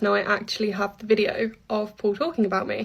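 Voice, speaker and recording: A woman's fairly high-pitched voice with a British accent, fairly quick in pace and monotone, flat in intonation. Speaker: online advocate featured in commentary video. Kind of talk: recorded personal statement. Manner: calm.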